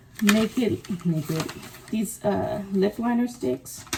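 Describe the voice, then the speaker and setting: Against noticeable background noise, a woman speaks at a very slow pace and a medium pitch with very wide pitch swings. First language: not English. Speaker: vlogger. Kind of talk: casual vlog talk. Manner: animated.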